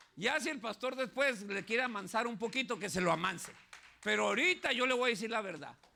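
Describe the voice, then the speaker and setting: Over noticeable background noise, a man with a high voice speaks in a raised, projected voice, his tone animated and his intonation lively. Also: fairly quick pace. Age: 60s. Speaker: pastor. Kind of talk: sermon.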